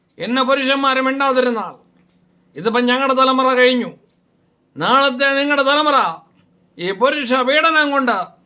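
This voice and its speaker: Audible room echo surrounds a man whose extremely high pitch holds fairly even intonation at very even loudness. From Kerala, Kottarakkara (Kollam). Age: 60s. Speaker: doctor and video blogger. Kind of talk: opinion monologue. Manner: halting.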